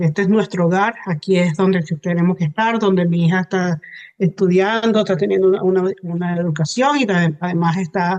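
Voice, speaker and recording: A woman speaks at a medium pitch in a Venezuelan accent. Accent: Venezuelan Spanish, lovely. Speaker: hypnotherapist. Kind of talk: interview. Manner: hesitant, many fillers.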